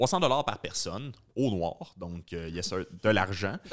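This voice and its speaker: In a Quebec accent, a man talks at a fairly low pitch with ordinary variation, on a very clean recording with a silent background. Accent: Québécois French. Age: 30s. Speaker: podcast host, comedian. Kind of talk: casual interview chat.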